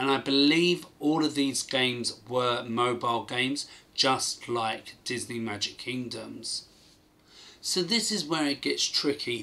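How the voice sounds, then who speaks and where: A bright, sharp voice with a British accent, at a fairly slow pace, with ordinary pitch variation. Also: man. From UK. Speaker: gaming YouTuber. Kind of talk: video commentary. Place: home room.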